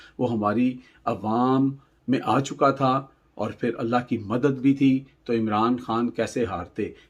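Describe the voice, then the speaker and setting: A man has an unremarkable speaking voice at medium pitch. His pitch varies in an ordinary way. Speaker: news commentator. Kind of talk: political news commentary.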